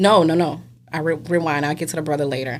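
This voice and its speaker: In an animated tone, a woman with a fairly low pitch speaks in a New Orleans accent. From New Orleans, Louisiana. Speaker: realtor. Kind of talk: casual chat, storytelling.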